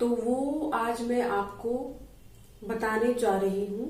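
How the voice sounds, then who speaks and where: The woman's voice is high in pitch, with ordinary pitch variation. Audible room echo and noticeable background noise come through. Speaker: yoga teacher. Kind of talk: tutorial. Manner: casual conversational.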